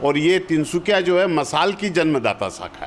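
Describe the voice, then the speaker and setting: A man's pitch shifts in a usual way as plain background noise sounds around him. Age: 60s. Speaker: community organisation veteran. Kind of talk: TV interview.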